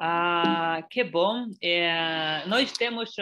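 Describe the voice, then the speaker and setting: This woman has a fairly low-pitched voice and speaks with a non-native accent. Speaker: export director, webinar presenter. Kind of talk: webinar presentation. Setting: online webinar. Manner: halting, many hesitations.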